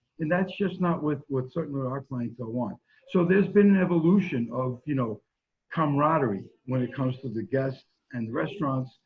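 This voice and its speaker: A man's fairly high, somewhat breathy voice with lively intonation and a fairly quick pace. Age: 60s. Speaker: pizzeria owner. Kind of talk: interview.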